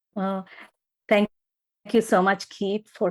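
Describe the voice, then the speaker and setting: A woman with an Indian accent is heard in a very clean recording with a silent background. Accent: Indian pronunciation. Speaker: podcast host. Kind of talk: casual interview chat. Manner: hesitant, many fillers.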